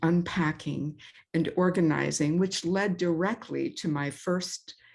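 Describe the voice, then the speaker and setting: Against a quiet background, a woman speaks at a fairly slow pace in a fairly low pitch with fairly even intonation. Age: 60s. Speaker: life coach and author. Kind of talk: interview.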